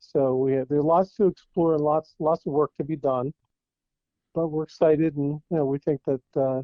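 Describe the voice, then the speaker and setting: In a normal speaking voice, a man speaks at a moderate pace with a fairly high pitch. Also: fairly even intonation. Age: 60s. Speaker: real estate advisor and TV co-host. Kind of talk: interview.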